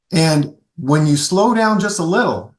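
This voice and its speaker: This man has a high pitch and ordinary pitch variation. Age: 60s. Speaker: golf equipment company founder, former long drive competitor. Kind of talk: podcast interview. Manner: animated.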